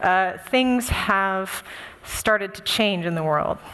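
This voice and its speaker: A woman with an American accent at a very slow pace, ordinary pitch variation, and noticeable background noise. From United States. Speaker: conference speaker. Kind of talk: conference talk. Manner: frequent fillers (uh, um).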